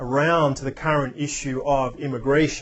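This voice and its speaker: In an Australian accent, someone talks at a moderate pace. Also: man. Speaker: spiritual speaker. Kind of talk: reflective talk.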